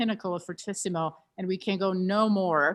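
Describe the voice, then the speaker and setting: A woman with a non-native accent speaks at a fairly low pitch. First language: not English. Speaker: pianist and piano teacher. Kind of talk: masterclass teaching. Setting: video call. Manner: hesitant, repeats words.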